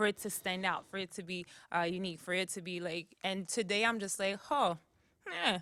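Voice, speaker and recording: In an American accent, a woman speaks fairly quickly at medium pitch, with fairly even intonation and a bright, sharp tone. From Brooklyn, New York, Haitian parents. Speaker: singer. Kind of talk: interview conversation. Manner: halting, many fillers.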